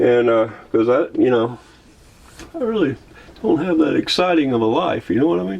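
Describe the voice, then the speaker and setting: A man talks at a fairly quick pace in a Southern US accent. His pitch swings very widely. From US South. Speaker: vlogger. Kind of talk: casual vlog narration. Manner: halting, many fillers and restarts.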